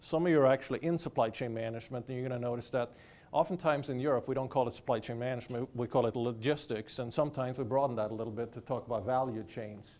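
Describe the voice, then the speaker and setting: A man talks at a very fast pace with hardly any pauses, in a Swedish accent. His pitch is medium, with ordinary pitch variation. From Sweden. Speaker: professor. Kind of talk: lecture. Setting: lecture hall with audience.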